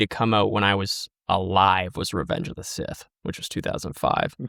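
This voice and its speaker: A man talks at a moderate pace with vocal fry. The recording is very clean with a silent background and a dry, close sound with no echo. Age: 20s. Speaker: Star Wars content creator. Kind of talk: casual chat. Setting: podcast interview. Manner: halting.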